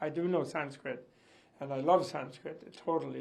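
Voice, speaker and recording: A man's fairly high voice with vocal fry, ordinary pitch variation, a moderate pace and audible room echo. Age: 80s+. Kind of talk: interview reaction.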